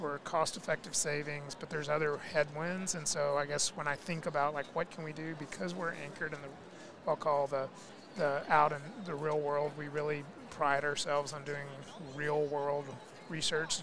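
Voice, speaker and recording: A man with a Southern US accent speaks at a moderate pace and a fairly high pitch, his intonation fairly even, with noticeable background noise. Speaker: physical therapy executive and researcher. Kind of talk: podcast interview.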